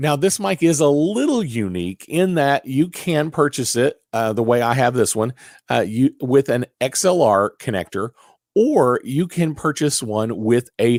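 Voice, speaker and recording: A man with an unremarkable speaking voice talks at a moderate pace in a medium pitch with lively intonation. The sound is dry and close, with no echo. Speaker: podcast host. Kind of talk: tutorial. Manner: casual, many fillers.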